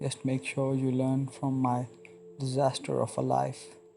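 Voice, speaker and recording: Fairly slow speech from a man at medium pitch, with music in the background. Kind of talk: motivational speech; dramatic letter reading. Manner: slow, earnest.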